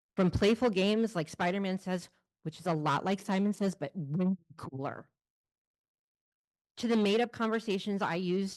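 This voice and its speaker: A woman at medium pitch and a moderate pace, ordinary pitch variation, dry, close sound with no echo. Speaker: family support specialist and adoptive mother. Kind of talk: personal storytelling on stage.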